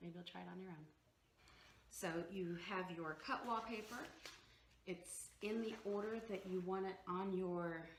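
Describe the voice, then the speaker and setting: At a moderate pace, a woman speaks in a fairly low pitch with ordinary pitch variation and audible room echo. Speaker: DIY home decor vlogger. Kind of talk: tutorial. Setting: at home. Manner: casual, halting with fillers.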